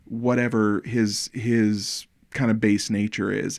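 In a very clean recording with a silent background, a man with a plain, everyday voice talks at a medium pitch with fairly even intonation. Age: 40s. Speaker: podcast host. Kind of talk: casual chat.

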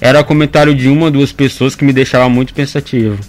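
Over noticeable background noise, a man talks at a fairly quick pace with a fairly high pitch and fairly even intonation. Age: 20s. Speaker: anonymous social media news page creator and law student. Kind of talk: radio interview. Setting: radio studio.

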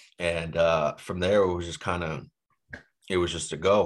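Very deep, low-pitched male speech at a moderate pace with an American accent. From Boston. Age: 20s. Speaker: real estate investor. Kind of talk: podcast interview. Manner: frequent fillers, casual.

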